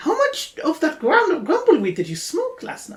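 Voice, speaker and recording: The voice is a put-on character voice at an extremely high pitch. Squeaky in sound, it moves along at a moderate speed. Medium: actual play. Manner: snappy, dry.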